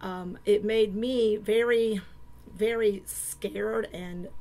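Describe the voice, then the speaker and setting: A woman with an American accent speaks at a medium pitch in a flat, monotone way. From US South, Savannah Georgia and Hilton Head South Carolina. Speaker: church member giving testimony. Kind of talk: testimony. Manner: hesitant, many fillers.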